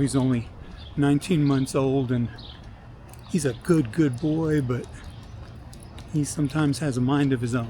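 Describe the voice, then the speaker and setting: His medium-pitched voice holds a fairly even intonation throughout. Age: 60s. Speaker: personal trainer. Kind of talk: casual vlog. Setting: outdoors, walking a dog.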